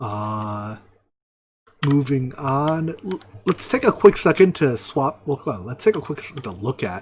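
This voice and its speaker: This man talks at a medium pitch with very wide pitch swings and a somewhat breathy quality. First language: not English. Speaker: video game streamer. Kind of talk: live gameplay commentary. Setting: home, live stream. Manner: casual, scattered self-talk.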